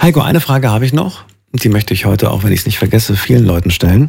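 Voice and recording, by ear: Talking at a fast pace, a man with a fairly low pitch has vocal fry, a husky, rough edge, a slightly mellow tone and lively intonation.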